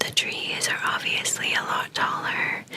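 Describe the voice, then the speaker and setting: The voice is whispering. Background noise is noticeable. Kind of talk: read story. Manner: whispered.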